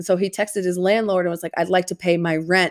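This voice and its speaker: Pitched fairly low, a woman talks at a very fast pace. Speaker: podcast co-host. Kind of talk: casual chat. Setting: remote recording on vacation.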